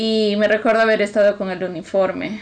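A woman speaks in a normal speaking voice at a fairly high pitch. Her pace is moderate, and her pitch varies in an ordinary way. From Peru. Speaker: podcast co-host. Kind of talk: casual chat.

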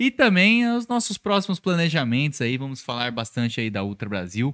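Very clean recording, silent background: a man talks at a moderate pace in a fairly high pitch with very wide pitch swings. His tone is bright and sharp. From Brazil, São Paulo. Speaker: podcast co-host and DJ. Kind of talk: casual chat.

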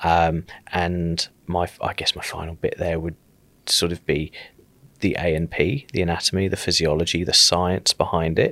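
In a southern English accent, a man with a very deep, low pitch and a bright, sharp tone is captured in a very clean recording with a silent background, the sound dry and close with no echo. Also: fairly even intonation, moderate pace. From southern England, South Coast. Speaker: paramedic and paramedicine lecturer. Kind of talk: podcast interview.

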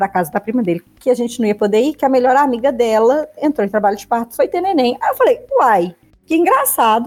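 A woman speaks in a high pitch at a fairly quick pace. Her pitch swings very widely. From Minas Gerais, Belo Horizonte. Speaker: podcast co-host. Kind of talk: casual chat.

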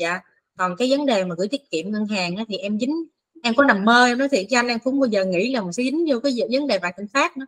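A woman's voice, recorded dry and close with no echo, moves through very wide pitch swings. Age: 30s. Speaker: investor. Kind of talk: casual chat.

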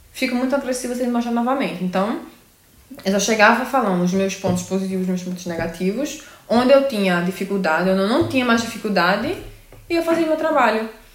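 Talking at a very fast pace with lively intonation, a woman is heard over noticeable background noise and audible room echo. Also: fairly high pitch for a woman. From Brazil, Pernambuco. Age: 20s. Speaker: nurse. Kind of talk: casual chat.

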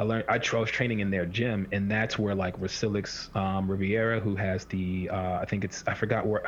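A man with a fairly low pitch talks at a fairly quick pace over noticeable background noise. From Washington D.C. area. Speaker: podcast co-host, strength coach. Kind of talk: casual chat.

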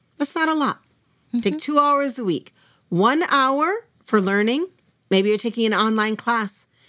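Using an American accent, a woman speaks at a moderate pace with long, frequent pauses, a fairly high pitch, lively intonation and a bright, sharp tone. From US Midwest, Minnesota. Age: 50s. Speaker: Islamic studies teacher. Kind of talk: interview conversation.

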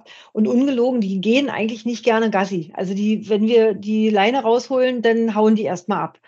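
An unremarkable speaking voice from a woman, fairly high in pitch, at a moderate pace with fairly even intonation. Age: 50s. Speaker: motorcyclist. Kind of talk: casual chat.

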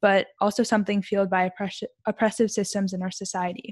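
A woman speaks at a fairly quick pace in an ordinary speaking voice, her pitch medium. The recording is very clean with a silent background. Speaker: podcast host. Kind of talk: interview, casual conversation.

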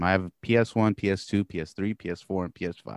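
A man talks fairly quickly, his voice recorded dry and close without any echo. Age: 30s. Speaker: podcast host, guest on another show. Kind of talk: casual chat.

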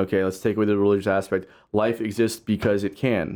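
An ordinary speaking voice from a man, fairly low in pitch, fairly quick in pace and fairly even in intonation, on a very clean recording with a silent background. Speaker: musician and podcaster. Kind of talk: casual chat.

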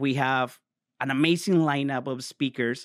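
The speaker has a Spanish accent and fairly even intonation. The recording is very clean and dry, close with no echo, over a silent background. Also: man. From Mexico. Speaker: mortgage broker. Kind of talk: casual interview. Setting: on location.

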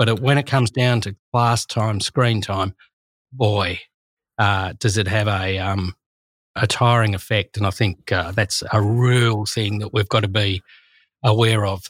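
A man with an Australian accent speaks at a fairly slow pace in a fairly low, somewhat breathy voice with fairly even intonation. The recording is very clean and dry, close-miked with no echo against a silent background. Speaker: teacher. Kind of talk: casual chat.

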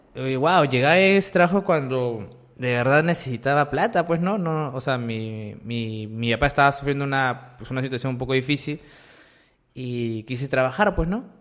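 At a moderate pace, a man with a plain, everyday voice talks at medium pitch with ordinary pitch variation. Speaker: YouTuber. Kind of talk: casual chat.

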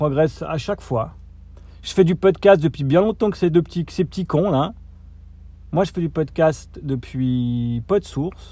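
A dark, mellow tone at a very slow pace, with lively intonation, big swings in loudness, and long, frequent pauses. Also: man, fairly high pitch for a man. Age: 40s. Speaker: podcaster. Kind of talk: solo vlog rant. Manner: halting, many hesitations.

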